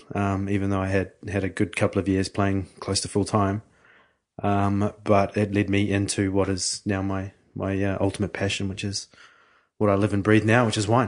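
Over a quiet background, a man speaks at a moderate pace with a fairly low pitch and monotone, flat intonation. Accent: New Zealand. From New Zealand, Hawke's Bay. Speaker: winemaker. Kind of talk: interview. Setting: studio.

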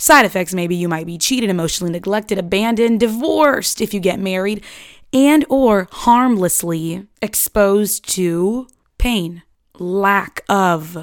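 A woman speaks in an unremarkable speaking voice at medium pitch with lively intonation. The recording is very clean, the background silent. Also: fairly slow pace. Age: 20s. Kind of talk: casual monologue.

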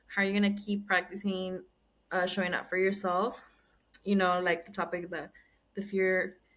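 Her tone is bright and sharp, and this woman speaks at a medium pitch and a moderate pace. Her intonation is monotone and flat. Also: long, frequent pauses. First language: Spanish. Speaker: podcast host. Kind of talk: casual chat.

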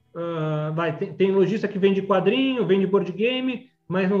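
A high-pitched male voice with lively intonation at a moderate pace, music in the background. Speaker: toy collector. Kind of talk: casual chat.

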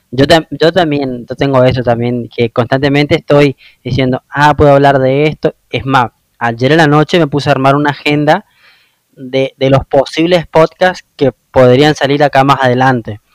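The voice holds a very even loudness and fairly even intonation at a moderate pace, recorded dry and close with no echo. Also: man, fairly high pitch for a man. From Argentina, Misiones (Oberá). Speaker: podcast host. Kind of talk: interview.

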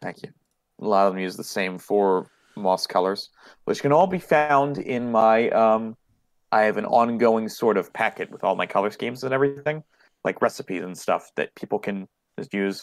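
A man with an unremarkable speaking voice talks at a medium pitch and moderate pace with ordinary pitch variation, in a very clean recording with a silent background and a dry, close sound with no echo. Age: 20s. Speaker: miniature painter and hobbyist. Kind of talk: casual chat.

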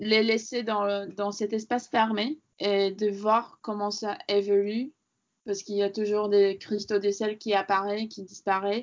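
Medium in pitch, a woman speaks at a fairly slow pace with monotone, flat intonation. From Latvia. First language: Latvian (speaking French). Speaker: sculptor. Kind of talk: interview. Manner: halting.

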